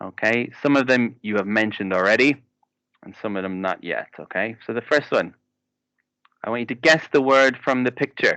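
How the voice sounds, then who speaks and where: The voice carries an Irish accent. Its tone is bright and sharp. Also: man, medium pitch for a man, ordinary pitch variation, moderate pace, big swings in loudness. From Ireland. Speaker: English teacher. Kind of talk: online class lesson.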